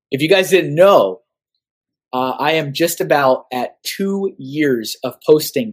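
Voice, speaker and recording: A man with an American accent has a plain, everyday voice. He speaks at a fairly slow pace with lively intonation. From Austin, Texas. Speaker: artist. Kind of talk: casual chat.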